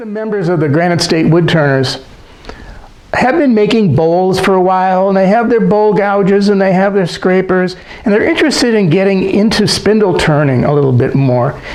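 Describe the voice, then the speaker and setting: With lively intonation and a high pitch, a man speaks at a fairly quick pace amid audible room echo and noticeable background noise. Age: 70s. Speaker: woodturning teacher. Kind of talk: tutorial.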